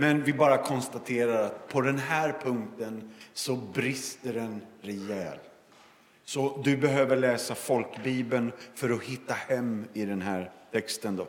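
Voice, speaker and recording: Heard through audible room echo and noticeable background noise, a man speaks very slowly at medium pitch with ordinary pitch variation. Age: 50s. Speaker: evangelist and former pastor. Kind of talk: sermon. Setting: church service.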